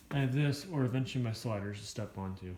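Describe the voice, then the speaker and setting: A man talks at a moderate pace in a medium pitch, his tone dark and mellow, his voice somewhat breathy, and his pitch varying in an ordinary way. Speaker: Jeep hobbyist vlogger. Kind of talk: casual vlog walkaround.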